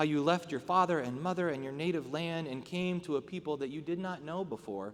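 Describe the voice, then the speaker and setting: A man with a plain, everyday voice talks at a fairly quick pace, his pitch fairly high with ordinary variation. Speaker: pastor. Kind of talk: scripture reading aloud.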